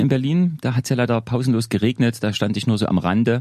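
A man's voice, pitched in the medium range for a man, rushes along very fast. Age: 40s. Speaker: author and historian. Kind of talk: casual interview. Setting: studio.

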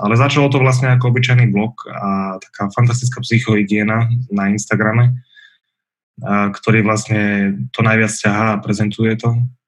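A man talks at a moderate pace in an unremarkable speaking voice with fairly even intonation. His pitch is medium. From Bratislava, western Slovakia. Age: 30s. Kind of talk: interview conversation.

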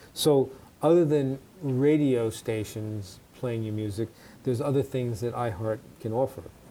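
Pitched at a medium level, a man with an unremarkable speaking voice keeps a moderate pace and ordinary pitch variation. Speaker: adjunct professor interviewer. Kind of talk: interview, conversational. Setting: campus seminar with audience.

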